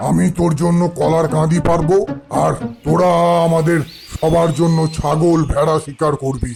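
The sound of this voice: In a cartoonish character voice, a man speaks at a fairly high pitch and a fairly slow pace over clear music in the background.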